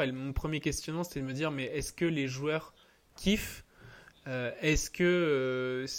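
On a very clean recording with a silent background, a man in a normal speaking voice talks at a moderate pace, fairly high in pitch, with fairly even intonation. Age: 20s. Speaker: tennis entrepreneur. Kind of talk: casual interview.

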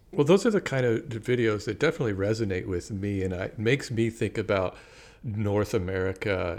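At a moderate pace, the clip presents an unremarkable speaking voice. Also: man. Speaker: podcast co-host. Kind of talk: casual chat.

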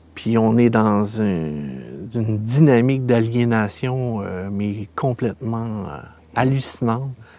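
The man speaks at a very slow pace with a Quebec accent. His pitch variation is ordinary. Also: medium pitch for a man. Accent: Québécois French. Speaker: filmmaker. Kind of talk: casual chat.

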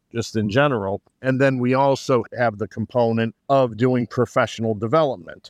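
A man with an American accent and a plain, everyday voice, fairly even intonation at a fairly slow pace, in a dry, close sound with no echo. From Greater Boston, Massachusetts. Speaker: opera company co-founder, military retiree. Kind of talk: podcast interview.

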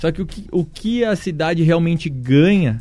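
A man with a dark, mellow tone, a fairly slow pace and lively intonation. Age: 20s. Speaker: city council candidate. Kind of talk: radio interview. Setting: radio studio. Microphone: was too far from the mic.

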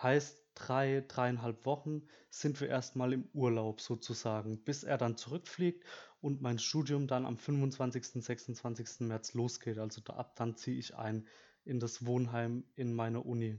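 Against a quiet background, a man with a medium pitch and a dark, mellow tone speaks at a very slow pace with fairly even intonation. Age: 20s. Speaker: student podcast host. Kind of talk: solo podcast monologue. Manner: hesitant, many filler sounds.

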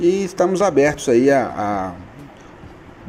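A man with lively intonation. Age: 40s. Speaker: online retail business owner. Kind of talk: radio interview.

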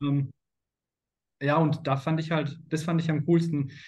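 A man's somewhat breathy, fairly high voice at a moderate pace, flat and monotone in intonation. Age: 30s. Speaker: sales consultant. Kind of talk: interview.

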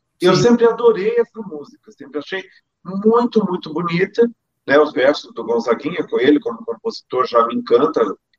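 Pitched high, a man speaks with very wide pitch swings and big swings in loudness. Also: moderate pace. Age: 50s. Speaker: singer. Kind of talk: interview. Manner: halting, repeats words.

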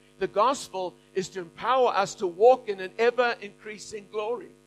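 Music plays in the background while a man speaks at a high pitch with ordinary pitch variation, the sound dry and close with no echo. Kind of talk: sermon. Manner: preacher in full flow, rallying the crowd with calls to say amen.

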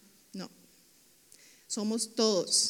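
A woman with a Costa Rican accent. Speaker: pastor. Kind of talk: sermon. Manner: animated.

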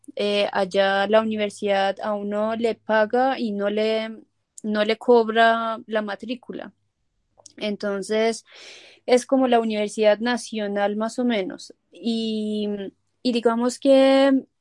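A woman speaks very slowly in a Persian accent. Her fairly high voice shows ordinary pitch variation in a dry, close sound with no echo. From Iran, moved to Colombia at 15. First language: Persian (speaking Spanish). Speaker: family physician. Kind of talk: interview. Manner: hesitant, many fillers.

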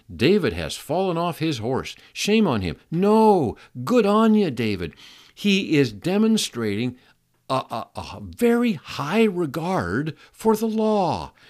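The speaker is a man. His voice rises and falls over a very wide range. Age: 70s. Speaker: podcast host teaching Bible topics. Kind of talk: solo Bible teaching talk. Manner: halting, with fillers and repeated words.

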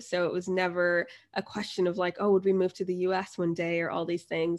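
A plain, everyday voice from a woman at medium pitch, with an American accent, at a fairly quick pace. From US, New Jersey and Florida. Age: 20s. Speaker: travel blogger and MBA student. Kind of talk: casual interview.

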